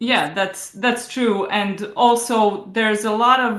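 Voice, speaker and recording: With a non-native accent, a woman speaks in fairly even intonation amid audible room echo. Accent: non-native English speaker. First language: Croatian. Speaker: novelist and book coach. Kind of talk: interview. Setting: video call. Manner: halting, many fillers.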